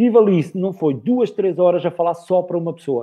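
Using lively intonation, a man talks at a moderate pace in a high voice. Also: quiet background. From northern Portugal. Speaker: body language expert and speaker; speaker. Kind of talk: live interview. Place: home room. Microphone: video call.

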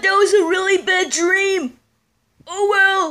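At a fairly slow pace, a put-on character voice speaks at an extremely high pitch. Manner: excitable, goofy.

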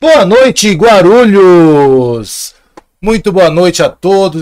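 A man is heard over a quiet background. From Ribeirão Preto, interior São Paulo state. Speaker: podcast host. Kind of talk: show host intro and promos. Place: studio. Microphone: studio mic.

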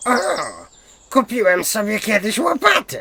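This voice is a put-on character. It moves along at a moderate speed. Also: man, high pitch for a man. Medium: read story. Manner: impulsive.

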